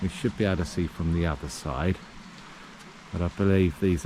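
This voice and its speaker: The tone is relaxed, with noticeable noise in the background. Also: man. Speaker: travel vlogger. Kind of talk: walking tour vlog narration. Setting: outdoors. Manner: casual, relaxed.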